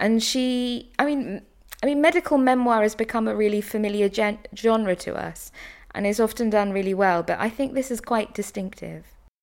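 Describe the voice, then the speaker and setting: A woman speaks at a moderate pace with fairly high pitch. Her pitch varies in an ordinary way. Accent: British. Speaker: professor, broadcaster and prize judge. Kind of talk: book discussion. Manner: articulate.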